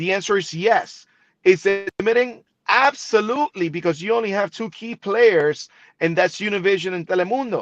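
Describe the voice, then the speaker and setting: Against a quiet background, a man with a slight Spanish accent speaks at a high pitch and moderate pace with ordinary pitch variation, the sound dry and close with no echo. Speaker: TV broadcaster. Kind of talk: interview.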